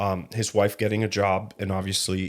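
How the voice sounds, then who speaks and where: On a very clean recording with a silent background, a man with a fairly low pitch speaks in a monotone, flat intonation at a moderate pace. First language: Spanish. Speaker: podcast co-host and car detailing business owner. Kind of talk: casual chat.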